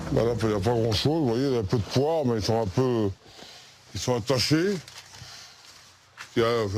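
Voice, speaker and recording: Despite long, frequent pauses, a man with a medium-pitched voice and lively intonation talks at a fairly quick pace over noticeable background noise. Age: 60s. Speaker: Roma traveller interviewed in documentary. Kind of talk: documentary interview.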